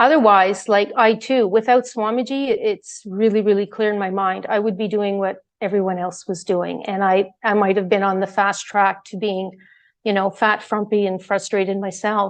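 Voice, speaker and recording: A woman speaks in a plain, everyday voice at a medium pitch, keeping a fairly even intonation and a moderate pace. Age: 60s. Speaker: devotee sharing experience. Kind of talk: testimony.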